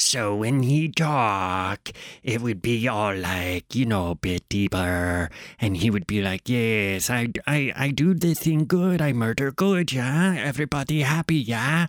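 A man with a medium pitch talks at a fairly slow pace, swinging very widely in pitch, in a dry, close sound with no echo. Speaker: podcast host. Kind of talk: solo casual monologue. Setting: home studio, recorded for video. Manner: rambling, casual, filler words.

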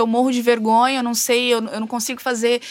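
A woman's fairly high-pitched voice at a fairly quick pace, monotone and flat in intonation, with a dry, close sound with no echo and a very clean recording against a silent background. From rural Novo Horizonte, São Paulo state, Brazil. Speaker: tattoo artist, fashion designer and rock singer. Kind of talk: interview.

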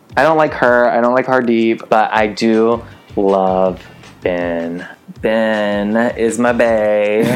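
A man speaks at a very slow pace with an American accent. Noticeable background noise runs underneath. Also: medium pitch for a man, ordinary pitch variation, very even loudness. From US South. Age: 20s. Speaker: podcast co-host. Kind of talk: casual chat. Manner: animated.

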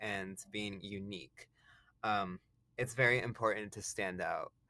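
This man's voice sits fairly low in pitch, with a bright, sharp tone. He talks at a fairly slow pace. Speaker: musician and podcaster. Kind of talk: solo podcast monologue. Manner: casual, rambling, with filler words and laughs.

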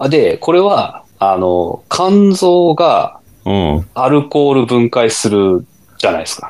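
A man speaks at a very slow pace in a fairly high pitch. His pitch swings very widely. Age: 40s. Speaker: amateur runner podcast co-host. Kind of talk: casual chat.

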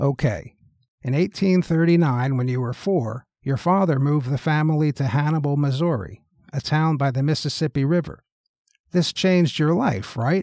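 In a very clean recording with a silent background, a man with a fairly high, dark and mellow voice talks at a moderate pace. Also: ordinary pitch variation. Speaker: talk show host. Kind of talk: mock interview with a historical figure, scripted.

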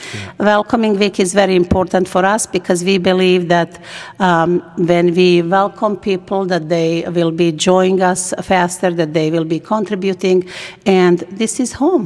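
With a Bosnian accent, a woman speaks at a fairly slow pace with fairly even intonation over noticeable background noise. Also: medium pitch for a woman. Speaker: nonprofit executive director and former refugee. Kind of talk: interview.

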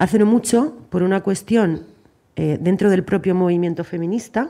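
A woman's dark, mellow tone at a moderate pace. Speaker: journalist. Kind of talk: panel debate.

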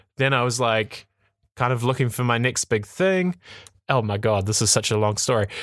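A man speaks in a New Zealand accent at a moderate pace. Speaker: tech podcast host. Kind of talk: casual chat. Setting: remote call.

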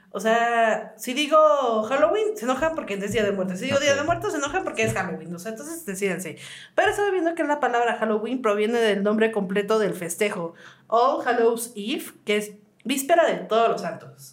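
A woman with a fairly high pitch talks at a fairly quick pace with very wide pitch swings, amid audible room echo and noticeable background noise. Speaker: podcast co-host. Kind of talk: casual chat. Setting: studio.

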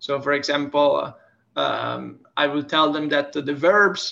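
The tone is bright and sharp, with an Italian accent. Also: man. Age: 20s. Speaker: language teacher. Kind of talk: casual interview. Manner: hesitant with repetitions.

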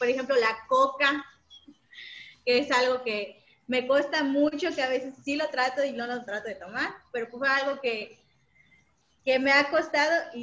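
At a fairly slow pace, a woman talks with a high pitch. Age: 20s. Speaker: university staff member. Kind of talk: casual interview.

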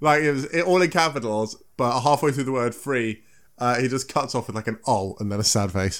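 On a very clean recording with a silent background, a man with a southern English accent talks at a fairly quick pace in a medium voice with ordinary pitch variation. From south of England. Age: 20s. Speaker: podcast host. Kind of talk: casual chat.

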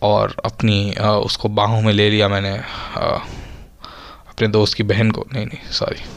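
Very slowly, a man gets his words out. His voice sits fairly low in pitch. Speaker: podcaster. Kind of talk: casual solo podcast monologue. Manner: halting, rambling with many pauses.

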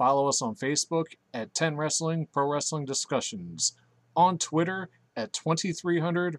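A man with a fairly high pitch has an unremarkable speaking voice and ordinary pitch variation. He talks at a fairly slow pace, and the sound is dry and close with no echo. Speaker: podcast host. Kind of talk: casual banter.

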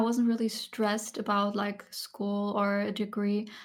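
In a very clean recording with a silent background, a soft-spoken woman with a fairly high pitch talks at a fairly slow pace in a monotone, flat intonation. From Germany. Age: 20s. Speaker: ASMR content creator. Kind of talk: soft-spoken podcast interview.

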